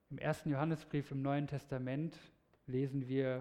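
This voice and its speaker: A man speaks with a dark, mellow tone. His pitch is fairly high. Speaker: preacher. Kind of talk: sermon; sermon to a congregation, lively storytelling with a teaching tone. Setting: church. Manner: animated, conversational, explaining clearly.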